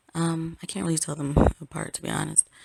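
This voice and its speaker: A woman is whispering. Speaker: astrologer. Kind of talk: casual talk to camera. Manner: whispered.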